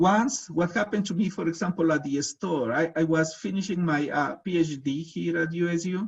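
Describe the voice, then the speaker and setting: A man with a Latin American accent speaks at a high pitch. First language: Spanish. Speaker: researcher and presenter. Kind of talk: webinar presentation. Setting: video webinar. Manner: halting, many fillers.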